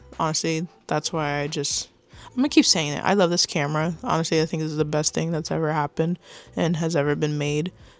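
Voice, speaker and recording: A quiet woman's voice, very deep and low in pitch, at a very fast pace with fairly even intonation. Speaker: beginner YouTuber. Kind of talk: casual vlog monologue. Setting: home computer setup, on camera. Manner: quiet and shy; mumbling at times.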